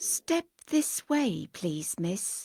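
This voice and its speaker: A woman puts on a character voice with a fairly high pitch and very wide pitch swings. The sound is dry and close, with no echo. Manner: ingratiating, unctuous.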